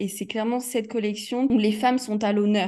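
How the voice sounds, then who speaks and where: Her voice is fairly high in pitch, with a dark, mellow tone. The woman keeps a moderate pace and fairly even intonation. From Provence, southern France. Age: 20s. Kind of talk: interview. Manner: hesitant, many fillers.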